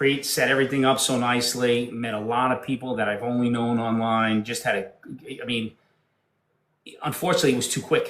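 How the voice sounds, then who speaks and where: Speaking in a downstate New York accent, a man at medium pitch moves at a fairly quick pace with monotone, flat intonation. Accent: downstate New York, harsh. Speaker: podcast guest. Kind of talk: casual chat.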